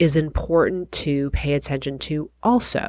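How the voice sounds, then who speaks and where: A woman's fairly low voice with very wide pitch swings, on a very clean recording with a silent background. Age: 40s. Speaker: podcast host and physician assistant. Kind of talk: storytelling monologue.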